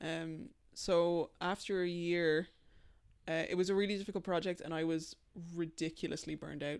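In an American accent, a woman speaks at a moderate pace with a fairly low pitch and fairly even intonation. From Dublin, Ireland. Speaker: designer and illustrator. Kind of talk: casual chat. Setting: studio.

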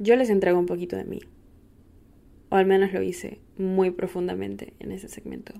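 Long, frequent pauses break up a woman's speech at a moderate pace. Her loudness swings widely. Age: 20s. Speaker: podcast host. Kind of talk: casual monologue.

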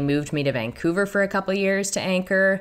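Speaking fairly quickly, a woman with a strong Canadian accent uses lively intonation. The recording is very clean, with a silent background. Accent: thick Canadian. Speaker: sports broadcaster. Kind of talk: casual interview conversation.

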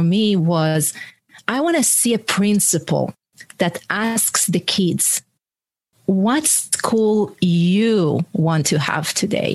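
Somewhat breathy, the voice keeps a very even loudness and lively intonation. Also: woman. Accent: Israeli. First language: Hebrew. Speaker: author and leadership coach, former military. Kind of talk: interview conversation. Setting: video call.

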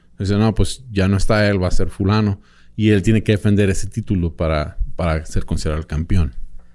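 A man's voice sits at a fairly low pitch, with a dark, mellow tone. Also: ordinary pitch variation, fairly quick pace. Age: 30s. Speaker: boxing expert and podcaster. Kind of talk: casual chat.

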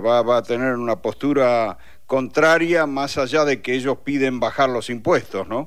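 A man with a normal speaking voice talks fairly slowly at a medium pitch, with ordinary pitch variation. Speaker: radio journalist. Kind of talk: interview.

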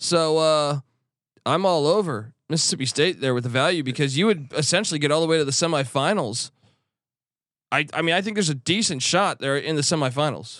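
Fairly high-pitched man in a normal speaking voice, fairly quick, with ordinary pitch variation and a very clean recording with a silent background. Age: 40s. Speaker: sports betting analyst. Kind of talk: casual chat.

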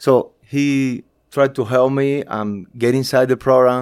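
A fairly slow-paced man in a Spanish accent, on a very clean recording against a silent background. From Cuba. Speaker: graphic designer and photographer. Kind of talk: interview. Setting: office. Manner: halting.

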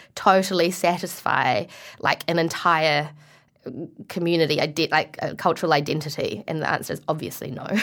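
A New Zealand accent at a moderate pace. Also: woman. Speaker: actor. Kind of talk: interview.

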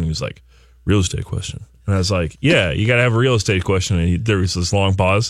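A man talks very fast at a fairly low pitch, with ordinary pitch variation. The recording is very clean, and the background is silent. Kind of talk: radio talk show. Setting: studio.

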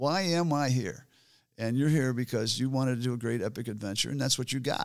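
Someone with an American accent talks at a fairly quick pace with ordinary pitch variation, recorded very cleanly against a silent background. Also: man, medium pitch for a man. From US Midwest, rural central Michigan. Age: 60s. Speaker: endurance athlete and adventurer. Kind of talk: interview. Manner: casual, halting.

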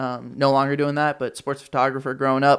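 Speaking at a fairly quick pace, a man delivers his words in a monotone, flat intonation on a very clean recording with a silent background. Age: 20s. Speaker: podcaster and combat sports commentator. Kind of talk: casual chat.

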